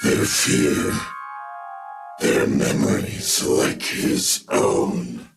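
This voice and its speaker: A man growls at a very slow pace with long, frequent pauses, and a clear echo surrounds his voice. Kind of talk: dark sci-fi narration. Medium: audio drama. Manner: measured, brooding.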